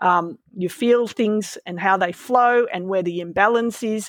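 Dry and close with no echo, a woman's medium-pitched voice in an Australian accent moves at a moderate pace with ordinary pitch variation. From Malaysia, raised in Melbourne from age twelve. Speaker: veterinarian. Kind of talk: interview conversation. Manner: hesitant, with fillers and repeats.

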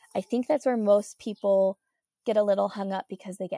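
A woman with an American accent speaks at a moderate pace and medium pitch, her tone dark and mellow. The sound is dry and close, with no echo. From Utah. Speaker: food blogger and farm entrepreneur. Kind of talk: casual interview.

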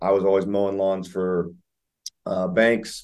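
At a moderate pace, a man speaks with a fairly low pitch, a dark, mellow tone and fairly even intonation. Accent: American. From Ohio, Columbus. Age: 20s. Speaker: real estate investor and home inspector. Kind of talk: interview. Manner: casual, many fillers.

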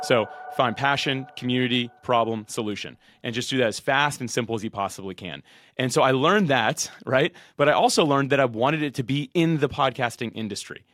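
In a plain, everyday voice at medium pitch, a man talks at a fairly quick pace with ordinary pitch variation on a very clean recording with a silent background. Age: 30s. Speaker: podcasting software entrepreneur and podcast host. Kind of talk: interview.

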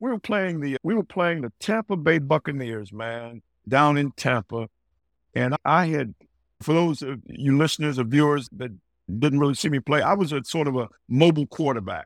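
With lively intonation, a man speaks at a moderate pace in an unremarkable speaking voice, fairly high in pitch. The recording is very clean and dry, close with no echo and a silent background. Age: 60s. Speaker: former NFL quarterback. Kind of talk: interview conversation, storytelling.

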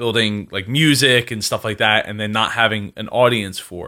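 On a very clean recording with a silent background, a man with a Philadelphia accent speaks at a moderate pace in a medium-pitched voice with a bright, sharp tone. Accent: Philadelphia-area American. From South Jersey, US. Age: 20s. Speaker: entrepreneur and podcaster. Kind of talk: casual interview.

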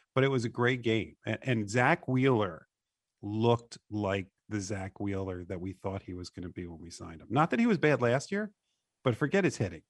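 A man with an unremarkable speaking voice and a fairly low pitch talks at a moderate pace with lively intonation and big swings in loudness. The background is quiet, and the sound is dry and close with no echo. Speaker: sports radio co-host. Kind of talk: sports talk radio show.

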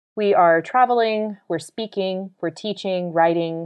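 This woman has a plain, everyday voice. She talks at a fairly slow pace with ordinary pitch variation. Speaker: podcast host and editor. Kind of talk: podcast intro and announcements.

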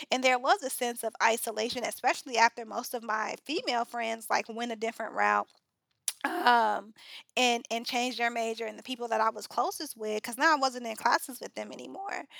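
A woman with an American accent, a normal speaking voice, fairly high in pitch with ordinary pitch variation, at a fairly quick pace, in a dry, close sound with no echo. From US Midwest, South Side of Chicago. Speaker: chemist and education nonprofit founder. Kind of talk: interview conversation.

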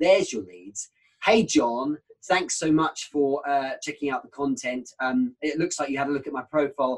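With a British accent, a man speaks at a fairly quick pace in a fairly high pitch, with ordinary pitch variation. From UK. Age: 30s. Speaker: sales trainer. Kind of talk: casual chat.

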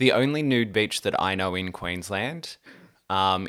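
With an Australian accent, a man speaks in a fairly low pitch and a bright, sharp tone. His pitch variation is ordinary. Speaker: podcast co-host. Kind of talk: casual chat.

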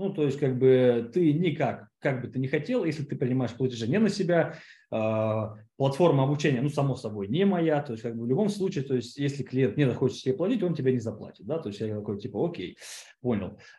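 A man speaks at a fairly quick pace in a medium pitch, his dark, mellow tone somewhat breathy and his intonation lively. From Siberia, Russia (Kemerovo). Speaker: online course producer and entrepreneur. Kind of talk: casual interview. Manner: halting, many fillers.

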